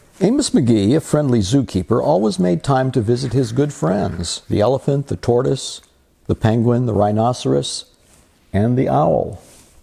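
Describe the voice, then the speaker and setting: A somewhat breathy man speaks at a moderate pace. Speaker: story reader. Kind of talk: children's story read-aloud. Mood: warm and gentle. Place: home room.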